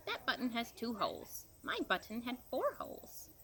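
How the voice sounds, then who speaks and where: Through clear background noise, a woman puts on a character voice with a high pitch at a moderate pace. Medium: read story. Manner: fussy, complaining.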